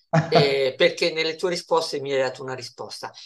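Against a quiet background, a man with an ordinary speaking voice talks at a moderate pace. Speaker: interviewer. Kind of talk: interview questions. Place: home room. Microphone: video call.

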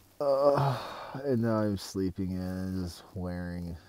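The man has a very deep, low pitch and ordinary pitch variation. His sound is dry with no echo. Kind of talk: casual vlog chat. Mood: wry, weary humor. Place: tent. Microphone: earbuds.

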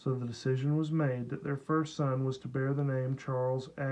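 This is plain reading aloud. Its intonation stays fairly even.

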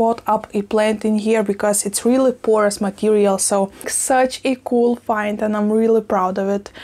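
A woman speaks in a monotone, flat intonation at very even loudness with hardly any pauses. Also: moderate pace. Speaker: plant vlogger. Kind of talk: casual vlog chat. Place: kitchen. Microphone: lapel.

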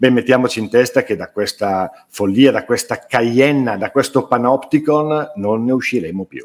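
Hardly pausing, a man speaks at a moderate pace with ordinary pitch variation and big swings in loudness. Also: quiet background. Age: 60s. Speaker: writer and publisher; interviewee. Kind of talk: interview. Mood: earnest, indignant. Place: home room. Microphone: webcam.

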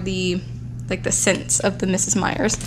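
A woman talks at a moderate pace, with noticeable background noise present. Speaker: haul vlogger. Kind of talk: casual vlog chat. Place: home room.

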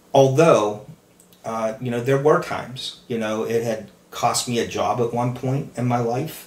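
Speech comes at a very slow pace with fairly even intonation. Audible room echo surrounds the voice. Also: man. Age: 50s. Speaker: recovering alcoholic sharing his story. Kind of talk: testimony.

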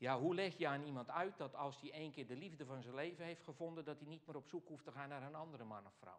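The speaker is a man going at a very fast pace. Pitch variation stays ordinary. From Netherlands, Alblasserwaard (South Holland); South Holland, Netherlands. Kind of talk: Q&A after a lecture. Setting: hall with live audience and microphone. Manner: halting, with many fillers. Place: church.

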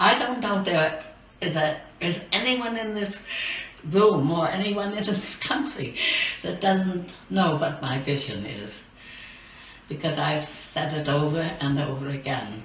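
The voice moves at a fairly slow pace with very wide pitch swings and long, frequent pauses, heard with audible room echo and light background noise. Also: woman, fairly low pitch for a woman. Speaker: campaign finance reformer. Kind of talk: recorded address to a legislature. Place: studio.

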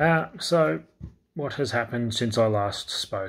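Quiet and somewhat breathy, a man talks at a fairly slow pace with an Australian accent. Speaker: crypto YouTuber. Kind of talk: casual market update vlog. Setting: indoors at night, kids asleep. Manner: quiet, talking low; hesitant, many fillers. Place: home room. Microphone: phone near.

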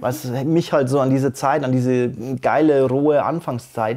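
The setting is quiet. A man talks at a moderate pace, his intonation fairly even. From Bavaria, Germany. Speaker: slam poet. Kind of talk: interview answer. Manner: casual. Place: studio. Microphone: lapel.

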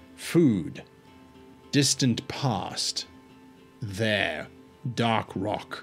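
A man puts on a character voice at a medium pitch, with clear music playing behind him and a hissing sound throughout. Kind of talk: terse, broken words.

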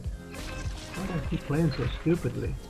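There is noticeable background noise. A man is speaking. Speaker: gamer. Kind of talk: gameplay commentary. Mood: self-critical, mildly frustrated.

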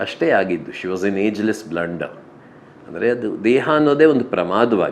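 A man talks in a fairly low pitch with lively intonation. He has a plain, everyday voice. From rural Karnataka, India. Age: 50s. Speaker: architect and writer, bereaved husband. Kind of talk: interview. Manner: reflective, with many pauses.

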